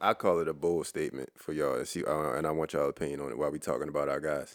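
With music playing in the background, a man speaks at a very fast pace. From Baltimore. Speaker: basketball podcast co-host. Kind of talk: casual chat.

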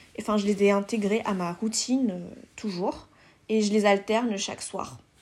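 The recording is very clean with a silent background, capturing a woman with a fairly high voice. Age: 20s. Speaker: content creator, podcast host. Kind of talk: casual solo podcast monologue. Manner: hesitant, many fillers.

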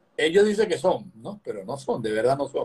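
A somewhat breathy man at a moderate pace. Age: 60s. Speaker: physician and opposition politician. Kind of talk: political interview conversation.

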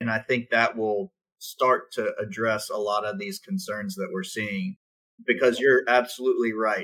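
A man with an American accent talks in a normal speaking voice at a medium pitch. His fairly slow, lively delivery has a dry, close sound with no echo. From South Carolina. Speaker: realtors association government affairs director. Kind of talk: radio talk show interview.

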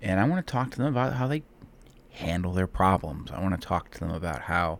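A man's very deep, low voice in a Midwestern American accent, fairly quick and lively in intonation. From Ohio, Cleveland. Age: 30s. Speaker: podcast host. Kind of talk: solo monologue. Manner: halting.

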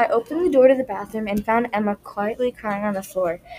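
Words are read out from a text. The delivery is natural in tone.

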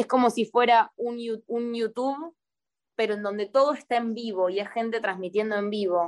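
A woman with a plain, everyday voice speaks at a moderate pace against a quiet background. Her pitch is fairly high, with ordinary variation. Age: 20s. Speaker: performing artist and poet. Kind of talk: casual interview. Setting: video call.

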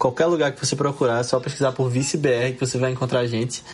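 Noticeable background noise fills the clip. A man speaks over it in a fairly high pitch. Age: 20s. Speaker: podcast host guest. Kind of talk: casual chat.

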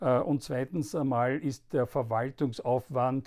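A man with an Austrian accent, medium pitch and a dark, mellow tone, on a very clean recording with a silent background. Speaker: politician and podcast host. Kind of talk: political commentary monologue. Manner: halting, many filler sounds.

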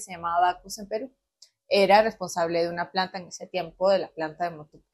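The speaker has a northern coastal Peruvian accent and a fairly quick pace. The intonation stays fairly even. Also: woman. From Peru, Chiclayo region (Cayaltí). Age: 20s. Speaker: industrial engineer. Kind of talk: casual interview chat.

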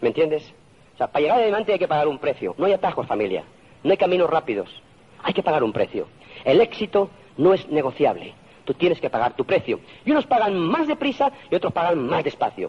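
A very fast delivery in a Spanish accent with very wide pitch swings over noticeable background noise. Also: man, high pitch for a man. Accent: Peninsular Spanish. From Spain. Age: 50s. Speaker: motivational speaker. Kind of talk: motivational talk.

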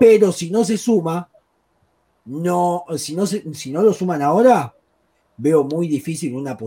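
A man talks in a Rioplatense accent. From Argentina. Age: 20s. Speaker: football pundit. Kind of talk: sports talk show.

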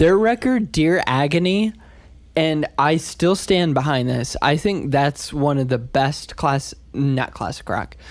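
Very slowly, a man speaks with a fairly high pitch and lively intonation. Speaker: singer-songwriter. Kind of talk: casual chat.

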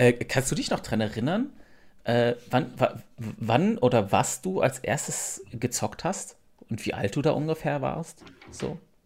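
Speaking at a very slow pace, a man with a medium pitch sounds somewhat breathy and uses lively intonation. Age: 30s. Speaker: streamer. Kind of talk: casual chat. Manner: halting, many repetitions.

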